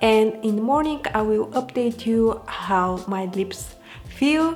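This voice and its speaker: Over music in the background, the speaker talks at a very slow pace with ordinary pitch variation. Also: woman, fairly high pitch for a woman. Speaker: beauty vlogger. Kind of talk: product review vlog.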